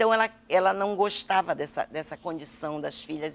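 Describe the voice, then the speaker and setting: Vocal fry marks this voice at a fairly slow pace with ordinary pitch variation. The recording is very clean with a silent background. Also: woman. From Brazil, western Pará (Alenquer), raised in Belém. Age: 60s. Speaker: state politician. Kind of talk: interview. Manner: halting, with repetitions.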